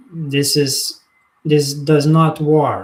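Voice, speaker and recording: A man speaks at a very slow pace in a Lithuanian accent. His voice is somewhat breathy. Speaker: spiritual teacher. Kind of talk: live monologue. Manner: halting.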